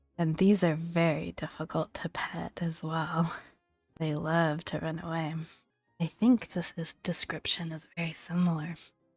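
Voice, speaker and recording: A soft-spoken voice at a fairly slow pace, with music in the background. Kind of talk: gaming ASMR walkthrough.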